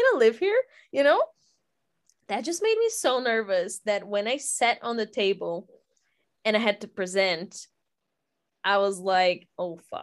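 A woman in a Portuguese accent speaks at a fairly slow pace. Her voice is fairly high, with long, frequent pauses. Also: ordinary pitch variation. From Brazil. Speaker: podcast co-host. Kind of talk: casual chat.

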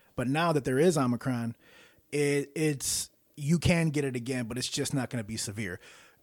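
A man with an ordinary speaking voice talks at a moderate pace in a fairly high pitch for a man, with ordinary pitch variation, on a very clean recording with a silent background. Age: 40s. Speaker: podcast host and musician. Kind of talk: casual chat.

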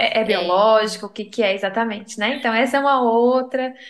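Using a normal speaking voice, a woman talks at a fairly high pitch and a moderate pace with fairly even intonation. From interior of Minas Gerais, Brazil. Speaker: psychologist. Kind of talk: casual chat.

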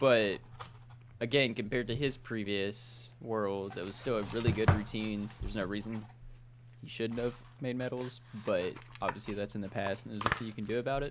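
A man speaks in a plain, everyday voice at a fairly quick pace. His pitch is medium and his intonation fairly even. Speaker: podcast co-host.

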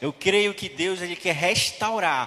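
A man talks in a high pitch as noticeable background noise plays behind him. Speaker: preacher. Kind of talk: sermon. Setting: church. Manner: animated, fervent, preaching with rhythmic repetition and exhortation.

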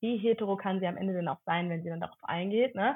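Speaking very fast, the woman shows ordinary pitch variation. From Cologne area, Germany. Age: 30s. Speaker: content creator, former social worker. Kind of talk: casual interview.

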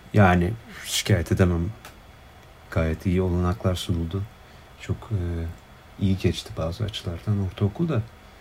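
Intonation stays fairly even at a fairly slow pace. Long pauses come often. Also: man, very deep, low pitch for a man. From Turkey. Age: 20s. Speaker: PhD student in political science. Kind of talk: casual chat. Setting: video call. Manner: hesitant, many fillers.

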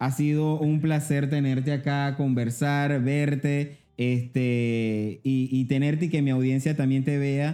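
A man with a fairly high pitch and a dark, mellow tone speaks very slowly, with hardly any pauses. His intonation is monotone and flat, and his loudness stays very even. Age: 30s. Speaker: podcast host. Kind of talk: casual interview chat. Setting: studio.

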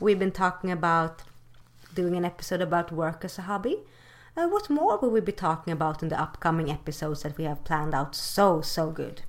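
In a Swedish accent, a woman talks at a fairly quick pace with a fairly low pitch and ordinary pitch variation on a very clean recording with a silent background. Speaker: podcast co-host. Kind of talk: casual chat. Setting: call. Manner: animated.

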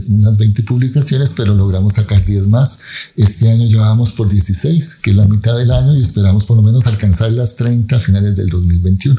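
At a moderate pace, a man speaks with a fairly low pitch and ordinary pitch variation. His tone is dark and mellow, and somewhat breathy. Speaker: scientist. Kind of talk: interview.

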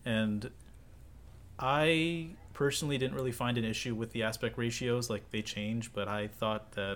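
In a very clean recording with a silent background, a man speaks in an ordinary speaking voice at a moderate pace, medium in pitch with ordinary pitch variation. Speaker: podcast co-host. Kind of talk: casual chat.

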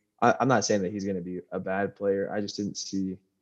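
In an ordinary speaking voice, a man with an American accent talks at a moderate pace, his pitch fairly low and his intonation fairly even over a quiet background. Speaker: podcast co-host. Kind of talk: casual chat.

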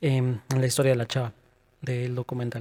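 A dry, close sound with no echo, in a Mexican accent. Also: man. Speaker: podcast co-host. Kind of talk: casual chat.

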